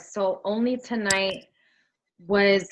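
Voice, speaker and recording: Speaking at a very slow pace in a New York accent, a woman keeps a medium pitch and fairly even intonation. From US Northeast, Brooklyn, New York. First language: Spanish. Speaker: singer-songwriter. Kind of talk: interview.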